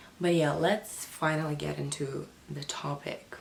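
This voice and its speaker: Amid noticeable background noise and audible room echo, a woman speaks in a very deep, low pitch. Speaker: spirituality youtuber. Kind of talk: casual talk to camera.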